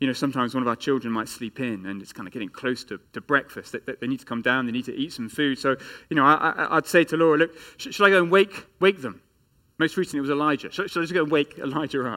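A man with an English accent speaks very fast in a bright, sharp voice at a fairly high pitch, his intonation lively and his loudness swinging widely, on a very clean recording with a silent background. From England. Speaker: pastor. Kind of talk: sermon.

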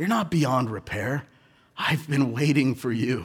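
Somewhat breathy and with an American accent, a man talks at a very slow pace and a medium pitch. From Southern California. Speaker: pastor. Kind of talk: sermon. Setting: church.

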